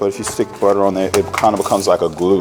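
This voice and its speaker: A man mumbles at a very fast pace. Music plays in the background. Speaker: chef. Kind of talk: cooking demo. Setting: market with live audience. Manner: mumbling; loud.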